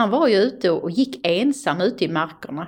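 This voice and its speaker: A plain, everyday voice moves at a moderate pace with lively intonation. The background is quiet. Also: woman. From Österlen, Skåne, southern Sweden. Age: 60s. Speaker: museum director and storyteller. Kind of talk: interview.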